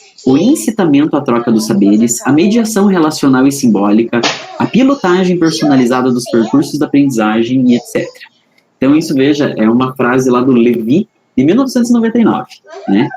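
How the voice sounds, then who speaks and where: With a Paraná accent, a man speaks at a fairly quick pace and fairly high pitch, making very wide pitch swings at very even loudness. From Paraná, southern Brazil. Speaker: educational trainer. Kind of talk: online training lecture.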